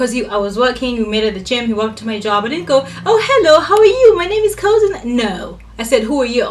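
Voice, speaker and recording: A loud, animated woman at a high pitch, very fast with hardly any pauses and very wide pitch swings, amid audible room echo. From Africa. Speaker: vlogger. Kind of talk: casual advice monologue.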